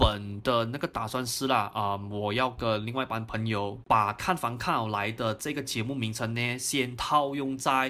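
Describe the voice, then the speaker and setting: Recorded very cleanly against a silent background, a man speaks with a bright, sharp tone. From Malaysia, Johor Bahru. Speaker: real estate investment podcaster. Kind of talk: unscripted solo year-end review.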